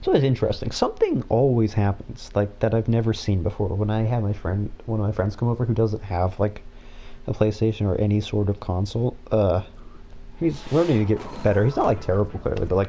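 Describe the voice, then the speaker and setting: A fairly low male voice with a dark, mellow tone, somewhat breathy and mumbling, fairly quick, with ordinary pitch variation. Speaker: gaming streamer. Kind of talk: live gameplay commentary. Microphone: sensitive mic picks up far sounds.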